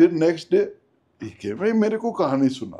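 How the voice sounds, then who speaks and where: This man's voice is high-pitched. His intonation is lively. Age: 80s+. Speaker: army veteran, partition survivor. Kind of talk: interview answer, storytelling.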